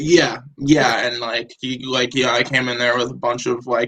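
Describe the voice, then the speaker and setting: This man has an American accent. He speaks at a medium pitch. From New Hampshire, US. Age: 20s. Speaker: rapper. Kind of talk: casual interview chat.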